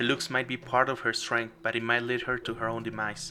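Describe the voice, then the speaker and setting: Fairly even intonation from a man at medium pitch. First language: not English. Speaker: game developer streamer. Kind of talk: live game stream commentary. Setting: live stream. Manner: halting.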